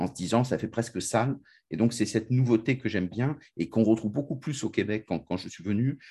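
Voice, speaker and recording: Against a quiet background, a man talks fairly quickly in a medium pitch, his dark, mellow tone somewhat breathy, with ordinary pitch variation. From France. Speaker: podcast host. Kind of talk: interview.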